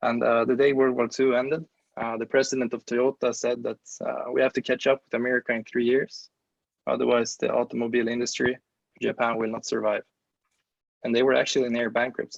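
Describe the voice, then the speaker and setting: Speaking at a fairly quick pace, a man keeps a monotone, flat intonation at a medium pitch, the sound dry and close with no echo. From Sweden. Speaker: exchange student. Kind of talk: class presentation.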